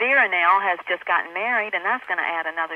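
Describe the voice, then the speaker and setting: A woman with a Southern accent speaks at a fairly low pitch. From US South. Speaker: actress. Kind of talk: interview. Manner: halting.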